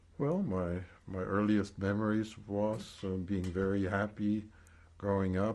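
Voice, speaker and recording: The speaker talks at a fairly slow pace with a German accent and fairly even intonation. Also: man. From Germany, East Prussia. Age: 70s. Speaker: Holocaust survivor. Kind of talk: oral history testimony interview. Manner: measured, with frequent hesitations.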